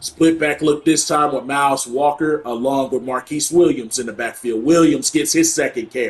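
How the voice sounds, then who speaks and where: At a moderate pace, a man talks in an unremarkable speaking voice with a fairly high pitch. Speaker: gaming YouTuber. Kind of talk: gameplay commentary. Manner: play-by-play style narration.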